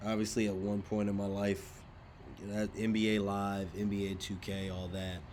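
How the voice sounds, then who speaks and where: The voice is delivered in a monotone with flat intonation, and audible room echo surrounds it. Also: man. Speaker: sports news YouTuber. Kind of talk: casual commentary monologue. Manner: many fillers (uh, um).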